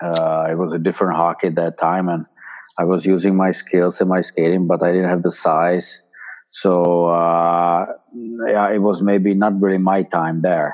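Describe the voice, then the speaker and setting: A man talks at a fairly slow pace in a very deep, low pitch with a Czech accent. His intonation is monotone and flat, and his loudness stays very even. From Czechoslovakia. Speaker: former ice hockey player and player agent. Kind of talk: interview.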